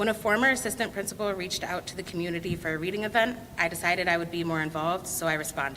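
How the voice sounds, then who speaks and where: A very fast, fairly low-pitched female voice with hardly any pauses, ordinary pitch variation and noticeable background noise. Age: 30s. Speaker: school board candidate, parent. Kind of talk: candidate speech.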